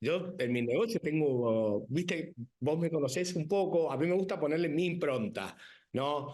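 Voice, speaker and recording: A man in a Rioplatense accent speaks with lively intonation and an animated tone at a moderate pace. Room echo is audible. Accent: Argentine Rioplatense Spanish. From Argentina. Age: 50s. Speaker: winemaker and businessman. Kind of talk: TV interview.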